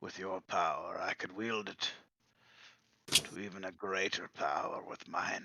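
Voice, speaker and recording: A man uses a raspy, put-on character voice. He speaks at a fairly slow pace. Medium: actual play. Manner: formal, courteous.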